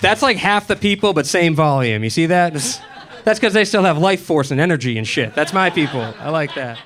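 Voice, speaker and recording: Lively intonation at a fairly quick pace, with noticeable background noise. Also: man. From Boston, US. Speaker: comedian. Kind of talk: stand-up. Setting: stage with audience. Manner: animated.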